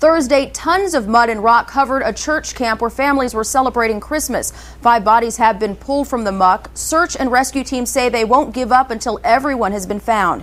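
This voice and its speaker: Her voice high and her pitch variation ordinary, a woman talks at a fairly quick pace. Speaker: television news reporter and anchor. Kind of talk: TV news reporting and anchoring. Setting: studio news desk.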